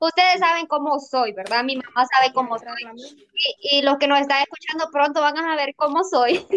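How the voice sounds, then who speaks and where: A woman's high voice with ordinary pitch variation and a fairly slow pace. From Honduras, La Vega, Santa Bárbara. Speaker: student podcast host. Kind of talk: casual discussion.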